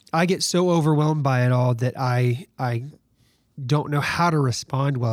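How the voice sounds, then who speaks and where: A man speaks with a Southern US accent at a medium pitch with ordinary pitch variation. The recording is very clean, with a silent background. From Alabama, US South. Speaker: worship pastor. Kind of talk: casual chat.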